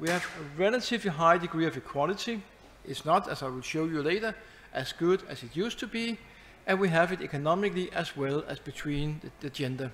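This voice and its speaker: Very fast and with lively intonation, a man with a Danish accent speaks at a high pitch. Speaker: professor. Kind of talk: lecture.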